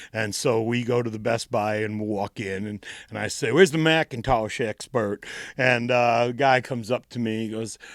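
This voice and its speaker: A man with a New England accent at a fairly quick pace, dry and close with no echo, on a very clean recording with a silent background. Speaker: punk band frontman and singer. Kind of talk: casual interview chat, storytelling. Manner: halting, many repeated words.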